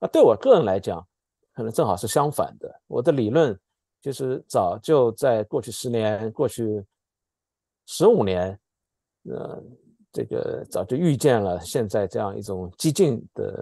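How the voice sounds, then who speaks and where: In a dry recording with no echo and a quiet background, a man with a dark, mellow tone and medium pitch speaks fairly slowly with lively intonation and long, frequent pauses. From mainland China. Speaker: political scientist. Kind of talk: political commentary discussion. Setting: video call. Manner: halting, many fillers and repetitions. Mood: calm analytical. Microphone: earbuds.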